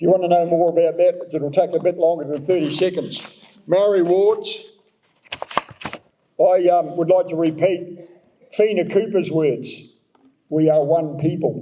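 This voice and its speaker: With long, frequent pauses, a man talks in a New Zealand accent, his pitch high and his intonation fairly even. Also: moderate pace. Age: 70s. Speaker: mayoral candidate. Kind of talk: election candidate forum answer.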